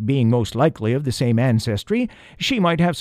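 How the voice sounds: The speaker's natural reading voice rises and falls with lively intonation.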